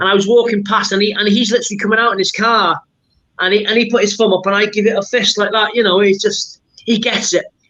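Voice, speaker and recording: A man with a North Welsh accent speaks in an enthusiastic tone, his high-pitched voice raised and projected as he talks at a very fast pace. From Wrexham, Wales. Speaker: football supporter. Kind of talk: podcast interview answer.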